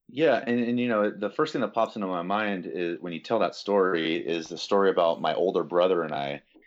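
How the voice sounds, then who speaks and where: Speaking at a fairly quick pace with hardly any pauses, a man uses a fairly low pitch and lively intonation. He has an ordinary speaking voice. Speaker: fitness coach and podcast host. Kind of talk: casual chat. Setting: call.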